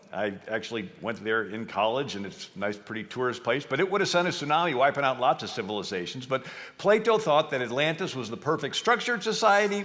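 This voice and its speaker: The voice has a bright, sharp tone and very wide pitch swings. It moves at a very fast pace with hardly any pauses. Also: man, medium pitch for a man. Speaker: history speaker. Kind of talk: lecture talk.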